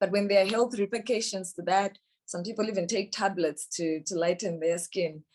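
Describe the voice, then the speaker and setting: A woman of medium pitch with a Zimbabwean accent and ordinary pitch variation. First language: Shona. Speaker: musician and poet. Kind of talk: interview talk about her song. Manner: hesitant with fillers.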